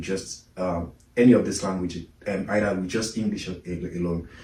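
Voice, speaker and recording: Audible room echo surrounds a man with a Nigerian accent whose dark, mellow tone is somewhat breathy, delivered at a fairly quick pace with fairly even intonation. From Nigeria, Lagos. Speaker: immigrant interviewee. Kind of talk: interview conversation. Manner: halting, many fillers and repetitions.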